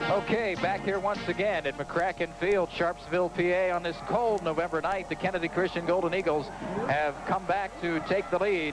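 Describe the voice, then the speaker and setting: A man speaks at a moderate pace with hardly any pauses, his high voice keeping a fairly even intonation. Music plays in the background. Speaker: radio play-by-play announcer for high school football. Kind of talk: live sports radio play-by-play broadcast.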